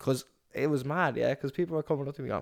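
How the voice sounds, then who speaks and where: A man with an Irish accent talks at a very fast pace and a fairly high pitch. The recording is very clean, with a silent background. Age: 20s. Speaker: podcast co-host, barber and entrepreneur. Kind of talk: casual chat.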